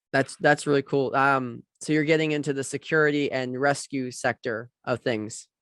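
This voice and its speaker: A man's ordinary speaking voice, fairly high in pitch, at a moderate pace with hardly any pauses, fairly even intonation, and a dry, close sound with no echo. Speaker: podcast host. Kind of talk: interviewer questions.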